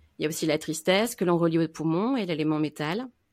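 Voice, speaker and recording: A woman with an unremarkable speaking voice at a fairly low pitch and moderate pace, in a very clean recording with a silent background. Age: 30s. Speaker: Chinese medicine practitioner. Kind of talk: casual chat.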